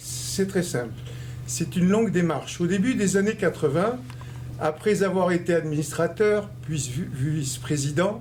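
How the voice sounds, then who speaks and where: A man's fairly high voice with lively intonation at a fairly slow pace, over noticeable background noise. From Algeria (Constantine). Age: 60s. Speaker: community leader and election candidate. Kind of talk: interview.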